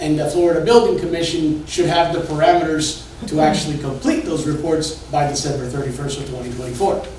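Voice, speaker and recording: A loud, high-pitched man's voice with ordinary pitch variation, audible room echo and noticeable background noise. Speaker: building inspection executive. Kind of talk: presentation to a community meeting. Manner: casual, energetic.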